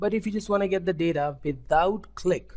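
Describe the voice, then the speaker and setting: Somewhat breathy and with an Indian accent, the speaker shows ordinary pitch variation on a very clean recording with a silent background. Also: man. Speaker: web development tutor. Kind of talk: tutorial. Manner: halting, with frequent self-corrections.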